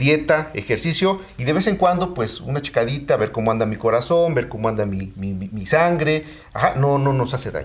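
A man speaks in an ordinary speaking voice, fairly high-pitched, with lively intonation, a fairly quick pace and hardly any pauses. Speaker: physician. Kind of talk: interview.

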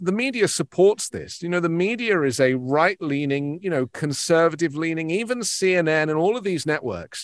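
A man with a British accent, high-pitched, lively intonation, moderate pace, and a dry, close sound with no echo. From England. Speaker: news broadcaster. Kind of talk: interview discussion of news.

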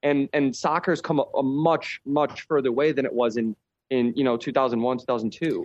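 An ordinary speaking voice belongs to a man with an American accent and fairly high pitch, talking at a moderate pace. The background is quiet, and the sound is dry and close with no echo. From Chicago. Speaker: professional soccer player. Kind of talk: casual chat. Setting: remote call.

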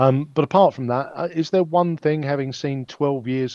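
A man speaks at a moderate pace with a fairly high pitch and fairly even intonation, in an ordinary speaking voice. The sound is dry and close with no echo, over a quiet background. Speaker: podcast co-host and interviewer. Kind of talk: casual interview. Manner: wry, chatty.

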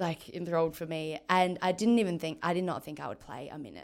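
A woman with a fairly low pitch speaks at a fairly quick pace. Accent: Australian. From Western Australia, Margaret River. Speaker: football player, team captain. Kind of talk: interview.

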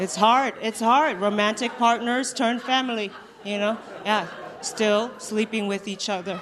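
Over crowd noise in the background, a woman speaks fairly slowly at a fairly high pitch with fairly even intonation. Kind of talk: stand-up. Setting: stage with live audience.

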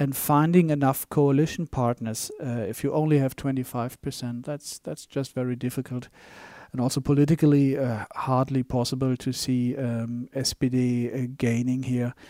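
In a very clean recording with a silent background and a dry, close sound with no echo, a man with a German accent speaks at a moderate pace and medium pitch in a dark, mellow tone with monotone, flat intonation. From Germany. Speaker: bank economist. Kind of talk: interview. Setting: studio. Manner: halting.

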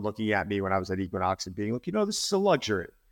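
In a very clean recording with a silent background, a man speaks. His pitch is medium, with ordinary pitch variation. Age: 40s. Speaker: fitness trainer. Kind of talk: interview. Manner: halting.

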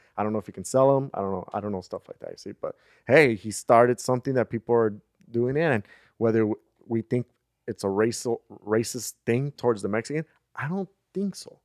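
A man with a Spanish accent talks at a fairly quick pace and medium pitch, with ordinary pitch variation. He leaves long, frequent pauses, and the sound is dry and close with no echo. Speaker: podcast host. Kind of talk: casual chat.

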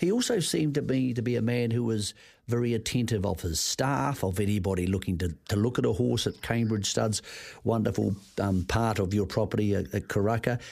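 A man with a New Zealand accent talks at a fairly quick pace in a fairly low pitch, with ordinary pitch variation and very even loudness, on a very clean recording with a silent background. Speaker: racing radio host. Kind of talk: radio interview. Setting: studio.

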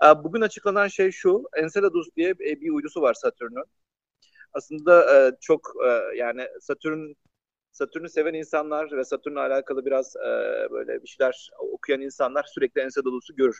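The sound is dry and close with no echo as a man talks at a moderate speed. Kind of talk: casual science explainer chat.

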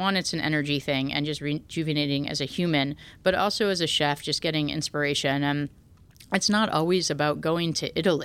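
On a very clean recording with a silent background, a woman with an American accent speaks in a very deep, low pitch with ordinary pitch variation. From US Northeast, New Haven. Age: 40s. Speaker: chef. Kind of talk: podcast interview.

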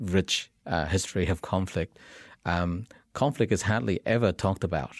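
A man with a Vietnamese accent speaks at a moderate pace with a very deep, low pitch, on a very clean recording with a silent background and a dry, close sound with no echo. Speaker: tech entrepreneur. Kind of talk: interview. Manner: hesitant, many fillers.

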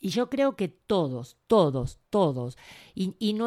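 On a very clean recording with a silent background, a woman with a Rioplatense accent speaks in a dark, mellow tone, the sound dry and close with no echo. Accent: Argentine Rioplatense Spanish. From Argentina, Buenos Aires. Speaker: writer, therapist and storyteller. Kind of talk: interview.

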